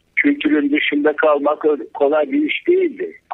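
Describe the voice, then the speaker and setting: The setting is quiet. A man's voice is heard. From Turkey. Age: 60s. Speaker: cartoonist; interview guest. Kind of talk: casual interview. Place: studio.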